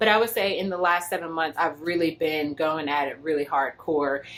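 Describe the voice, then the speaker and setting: A woman with an American accent talks at a fairly quick pace, her pitch varying in an ordinary way. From United States. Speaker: lifestyle vlogger. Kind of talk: casual vlog talk. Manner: conversational, with filler words.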